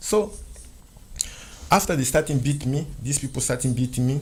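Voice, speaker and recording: A man speaks at a fairly quick pace in a somewhat breathy, fairly high voice. His speech is broken by long, frequent pauses. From Central Africa. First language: French. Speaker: interview guest. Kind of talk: interview testimony.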